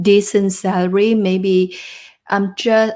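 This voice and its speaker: A woman speaks at a very slow pace in a monotone, flat delivery at a medium pitch. The recording is very clean, with a silent background. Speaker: job search coach. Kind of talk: live stream talk to viewers. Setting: live stream.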